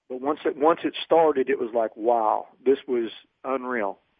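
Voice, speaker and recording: Here a man speaks at a medium pitch in a normal speaking voice. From Oroville, California. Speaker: professional bass angler. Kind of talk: interview.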